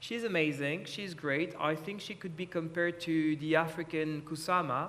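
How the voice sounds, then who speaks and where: The speaker has a French accent and a moderate pace. Intonation stays fairly even. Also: man, fairly high pitch for a man. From France. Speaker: art lawyer. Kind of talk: panel discussion.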